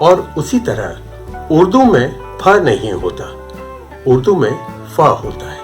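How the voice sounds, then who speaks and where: Over music in the background, a man speaks with big swings in loudness and long, frequent pauses. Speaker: radio announcer. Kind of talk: interview answer.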